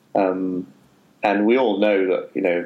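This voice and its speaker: A man speaks with a northern English accent. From northern England. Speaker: author and journalist. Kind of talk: interview. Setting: remote call.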